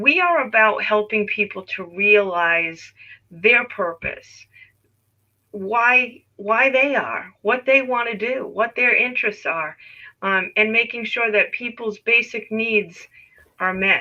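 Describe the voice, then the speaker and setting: At a very slow pace, a woman speaks in a fairly high pitch with ordinary pitch variation. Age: 60s. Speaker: volunteer program director. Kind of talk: interview.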